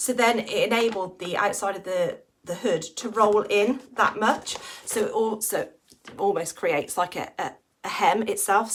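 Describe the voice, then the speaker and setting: Using a raspy put-on character voice, a woman speaks at a moderate pace with a fairly high pitch. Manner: stuttering, stumbling over words.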